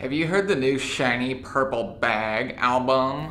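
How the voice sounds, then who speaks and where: A put-on character voice sounds nasal at a low-to-middle pitch. It moves at a fairly slow pace over light background noise. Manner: sarcastic.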